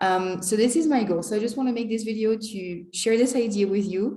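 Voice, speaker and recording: A woman's dark, mellow tone with ordinary pitch variation and audible room echo. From France. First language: French. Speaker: language teacher and vlogger. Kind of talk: casual vlog monologue.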